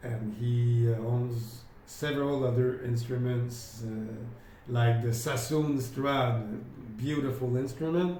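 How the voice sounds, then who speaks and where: Speaking very slowly with fairly even intonation, a man with a French accent is heard amid noticeable background noise and audible room echo. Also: medium pitch for a man. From France. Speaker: independent researcher and violin dealer. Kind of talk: explanatory video talk. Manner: halting, many fillers.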